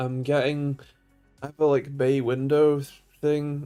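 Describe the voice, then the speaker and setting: In a British accent, a man speaks at a fairly slow pace, his dark, mellow tone set in monotone, flat intonation. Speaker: tech YouTuber live streamer. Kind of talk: live stream chat. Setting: home room, live stream. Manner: slurred speech.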